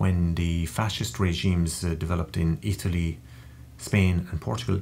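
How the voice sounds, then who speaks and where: A man with an Irish accent speaks at a moderate pace in a very deep, low voice, his intonation fairly even. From Ireland. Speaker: interview guest, Irish emigrant. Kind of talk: interview conversation. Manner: hesitant, many fillers.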